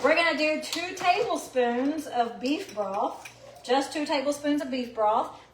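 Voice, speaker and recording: A woman's lively, up-and-down delivery at a fairly slow pace, with audible room echo and noticeable background noise. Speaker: cooking show host. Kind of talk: live cooking demonstration. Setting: home kitchen. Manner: animated.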